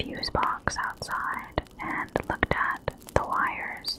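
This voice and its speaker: There is noticeable background noise as a woman whispers at a very slow pace. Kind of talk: ASMR true crime storytelling. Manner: whispered, soft-spoken.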